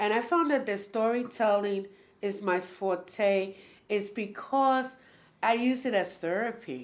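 A woman speaks at a fairly slow pace on a very clean recording with a silent background. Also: medium pitch for a woman. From New York City, Spanish Harlem. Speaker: storyteller and solo performer. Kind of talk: casual interview.

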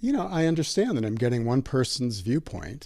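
With an American accent and an ordinary speaking voice, a man talks at medium pitch with lively intonation on a very clean recording with a silent background. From Milwaukee, Wisconsin, US Midwest. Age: 60s. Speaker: psychotherapist.

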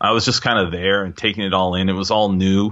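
A man speaks with a Pacific Northwest accent. His pitch is fairly low. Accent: US Pacific Northwest (General American). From Seattle, US Pacific Northwest. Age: 40s. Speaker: jazz drummer and composer. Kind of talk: casual interview chat.

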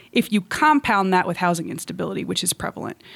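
Lively intonation marks an unremarkable speaking voice on a very clean recording with a silent background. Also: woman. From moved often; US-born, raised partly in Russia. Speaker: nonprofit executive director. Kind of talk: interview.

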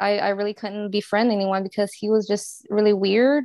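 A woman speaks in an ordinary speaking voice with an American accent, at a moderate pace and medium pitch. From New Orleans, US South. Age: 20s. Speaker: fashion designer and interior designer. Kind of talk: casual interview.

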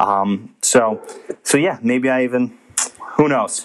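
A man's medium-pitched, ordinary speaking voice with ordinary pitch variation. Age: 30s. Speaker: sports podcast host. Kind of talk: casual solo monologue. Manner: casual with frequent fillers.

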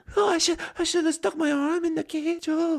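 An extremely high-pitched put-on character voice moves at a moderate pace. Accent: Bangladeshi. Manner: screaming, panicked.

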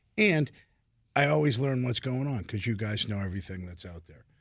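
A man with an American accent, a plain, everyday voice, medium pitch, lively intonation, and a fairly quick pace. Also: very clean recording, silent background. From Boston, US. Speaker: seafood business owner.

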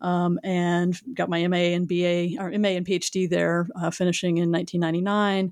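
A woman with an American accent, fairly low in pitch, monotone and flat, at a fairly quick pace with very even loudness. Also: very clean recording, silent background. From US South, Houston area, Texas. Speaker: historian and author. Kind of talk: interview.

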